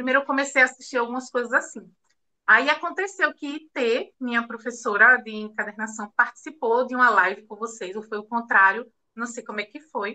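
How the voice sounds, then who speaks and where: A woman's high, bright, sharp voice at a moderate pace, with ordinary pitch variation and big swings in loudness. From Recife, Pernambuco, Brazil. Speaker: bookbinding artisan. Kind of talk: interview.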